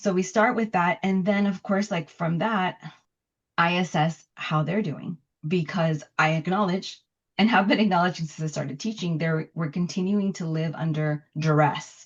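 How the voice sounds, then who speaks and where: A woman with an American accent talks at a moderate pace, her pitch fairly low. Her voice is somewhat breathy, with ordinary pitch variation. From Los Angeles, Bell Gardens. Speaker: poet and professor. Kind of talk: interview.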